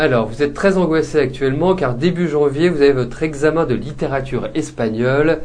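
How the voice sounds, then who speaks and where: A man talks at a fairly quick pace with a fairly high pitch and ordinary pitch variation. Audible room echo surrounds his voice. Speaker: psychic tarot reader show host. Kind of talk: live psychic reading show. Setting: live webcam show. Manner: hesitant, many fillers.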